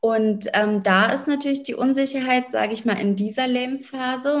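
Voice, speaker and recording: Speaking at a moderate pace, a woman uses an unremarkable speaking voice and fairly even intonation. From Berlin, Germany. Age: 30s. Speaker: lawyer and business coach. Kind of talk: interview.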